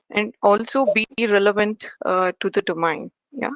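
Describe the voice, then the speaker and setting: In a Telugu accent, a woman speaks fairly slowly at a fairly high pitch. Her pitch varies in an ordinary way, and the sound is dry and close with no echo. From India, Karnataka. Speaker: engineering manager. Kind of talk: interview. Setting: podcast. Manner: hesitant, many fillers.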